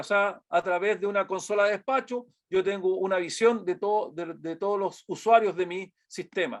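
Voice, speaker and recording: In a quiet background, a man with a Chilean accent speaks at a moderate pace and high pitch. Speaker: product presenter. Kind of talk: webinar presentation. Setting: online webinar. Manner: halting with many fillers.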